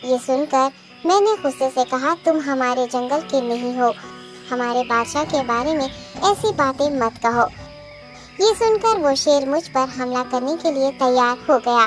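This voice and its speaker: A female-sounding voice performs a cartoonish character voice over clear music in the background. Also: moderate pace. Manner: polite, deferential.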